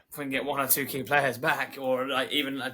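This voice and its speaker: A man with a London accent speaks at a fairly quick pace. His pitch sits fairly high. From London, England. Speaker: podcast co-host. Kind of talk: casual chat.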